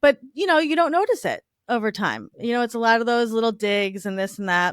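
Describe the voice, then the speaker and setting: A woman's fairly high, animated voice with lively intonation and a slight Long Island accent, on a very clean recording with a silent background. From Long Island, New York. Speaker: divorce recovery entrepreneur. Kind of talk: podcast interview, personal story.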